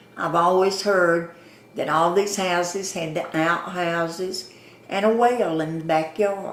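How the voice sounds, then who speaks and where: Through noticeable background noise and audible room echo, a woman with a Southern US accent talks at a very slow pace, her fairly low voice held in fairly even intonation. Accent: Southern US (Georgia). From US South, Atlanta. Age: 80s+. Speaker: longtime resident, former store owner. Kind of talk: oral history interview. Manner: folksy storytelling.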